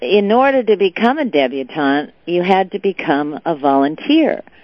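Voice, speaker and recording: With lively intonation, a woman speaks in a West Coast US accent. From Southern California, Beverly Hills. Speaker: businesswoman and philanthropist. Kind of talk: interview.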